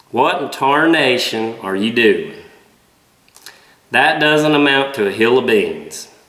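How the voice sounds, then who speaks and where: In a strong Southern US accent, the speaker uses lively intonation at a fairly slow pace. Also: man. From Southern United States. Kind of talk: casual talk to camera.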